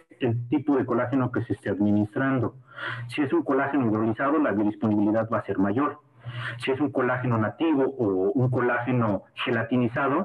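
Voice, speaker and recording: Against noticeable background noise, a man of medium pitch talks at a fairly quick pace with fairly even intonation. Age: 30s. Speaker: sports medicine doctor. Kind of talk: lecture. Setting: video call. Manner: halting.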